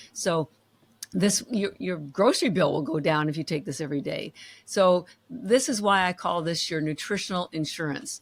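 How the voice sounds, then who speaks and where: A woman talks at a moderate pace with a medium pitch. Her intonation is lively. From Canada. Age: 60s. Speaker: company founder. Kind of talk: interview. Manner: animated.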